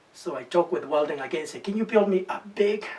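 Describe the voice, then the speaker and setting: Speech at a moderate pace with lively intonation comes through over noticeable background noise. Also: man. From Peru. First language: Spanish. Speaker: musician. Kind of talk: documentary interview.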